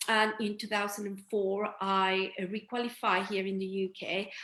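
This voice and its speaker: With a Spanish accent, a woman speaks at a moderate pace and medium pitch. Her intonation stays fairly even. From Mexico City, Mexico. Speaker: dentist and entrepreneur. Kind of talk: interview.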